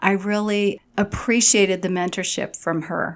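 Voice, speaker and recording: A woman talks at a fairly slow pace in a medium pitch. The recording is very clean, with a silent background. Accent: American. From Long Island, New York. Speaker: healthcare director and nurse. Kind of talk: casual interview chat.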